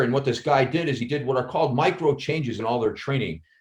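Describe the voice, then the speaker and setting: A man talks at a fairly quick pace in a fairly high pitch with lively intonation. His voice is somewhat breathy. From Chicago, US Midwest. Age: 50s. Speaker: actor and former police officer. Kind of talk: casual chat. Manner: halting, many repetitions.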